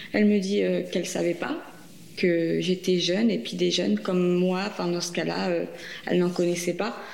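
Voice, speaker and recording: Noticeable background noise and audible room echo surround a woman speaking at a fairly low pitch. She keeps a moderate pace with ordinary pitch variation and long, frequent pauses. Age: 30s. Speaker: breast cancer patient sharing her experience. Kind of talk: testimony. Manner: halting.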